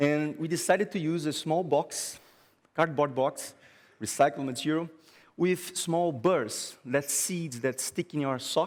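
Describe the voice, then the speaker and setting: A man with a Brazilian Portuguese accent speaks at a fairly slow pace, his fairly high pitch showing ordinary variation. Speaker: graphic designer. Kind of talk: conference talk. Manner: halting.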